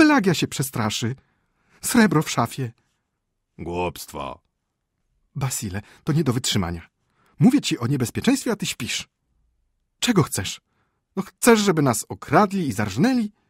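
A man's animated, theatrical delivery at a fairly slow pace, fairly high in pitch with very wide pitch swings, vocal fry, and long, frequent pauses, in a dry, close, echo-free and very clean recording with a silent background. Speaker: audiobook narrator. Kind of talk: dramatic audiobook narration of a short story, reading aloud with character voices. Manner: measured, ironic storytelling pace with comic timing.

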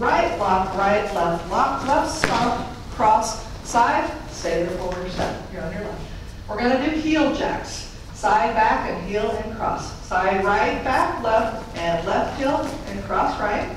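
The speech comes very slowly, with strong echo filling the room. Noticeable noise sits in the background. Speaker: fitness instructor. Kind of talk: live line dance class teaching, step-by-step instruction. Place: hall.

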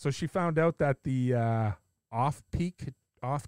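A man with a Canadian accent and an unremarkable speaking voice talks at a fairly slow pace with lively intonation, the sound dry and close with no echo. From Canada. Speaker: podcast host. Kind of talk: casual chat. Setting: video call.

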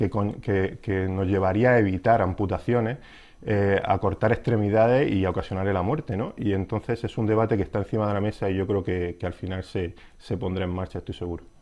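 Pitched fairly low, a man's voice keeps a fairly even intonation. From Spain. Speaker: podiatrist; interviewee. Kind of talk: interview. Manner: halting, many fillers. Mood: calm, explanatory. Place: studio. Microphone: lapel.

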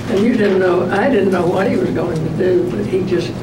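A woman speaks over loud background noise. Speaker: World War 2 nurse. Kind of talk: interview answer. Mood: calm, reflective. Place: meeting room.

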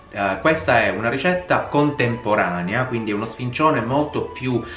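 At a moderate pace, a man talks in a room with audible echo while faint music plays in the background. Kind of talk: cooking tutorial. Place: kitchen.

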